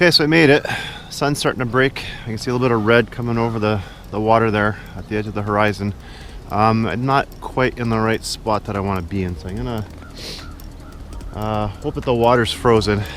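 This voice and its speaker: Against noticeable background noise, a man of medium pitch speaks at a fairly quick pace with ordinary pitch variation and long, frequent pauses. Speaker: photography vlogger. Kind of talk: casual vlog narration. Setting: outdoors.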